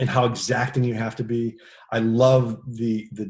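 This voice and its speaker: A somewhat breathy man's voice at a medium pitch, with an American accent. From United States. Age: 60s. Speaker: actor and stunt performer. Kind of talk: casual interview chat. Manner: halting with many fillers.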